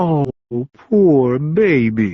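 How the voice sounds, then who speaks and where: A put-on character voice in a low-to-middle pitch. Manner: mocking.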